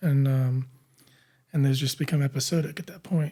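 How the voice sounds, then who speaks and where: A man speaks with a dark, mellow tone and a fairly high pitch. His voice is somewhat breathy, with fairly even intonation. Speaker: podcast host. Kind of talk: interview conversation. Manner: frequent filler words, hesitant.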